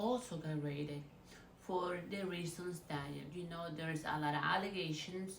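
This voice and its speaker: A woman with a Spanish accent speaks at a moderate pace, her pitch fairly low and her intonation fairly even. The recording carries audible room echo and noticeable background noise. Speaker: YouTuber, celebrity gossip commentator. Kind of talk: casual vlog commentary.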